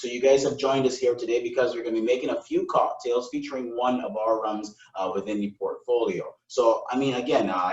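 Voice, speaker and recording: The speech moves at a very fast pace in an American accent. Pitch variation is ordinary. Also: man. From Barbados. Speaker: brand ambassador. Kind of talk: live virtual cocktail lesson. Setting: live stream. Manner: upbeat, enthusiastic.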